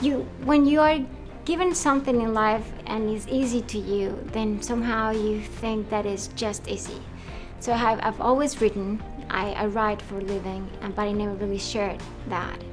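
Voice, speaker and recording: Music plays in the background as a woman speaks. Her voice is fairly high with ordinary pitch variation. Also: moderate pace. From Colombia. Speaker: director, writer, producer, actor. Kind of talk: interview answer.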